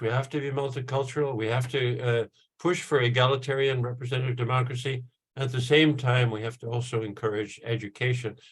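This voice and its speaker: A man speaks at medium pitch and a fairly quick pace. His voice is somewhat breathy. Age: 70s. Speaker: professor. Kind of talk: panel talk. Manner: halting, many fillers.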